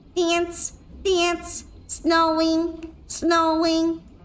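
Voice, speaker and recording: Over light background noise, a woman performs a put-on character voice at an extremely high pitch, delivered in a monotone, flat intonation. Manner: playful, gremlin-like.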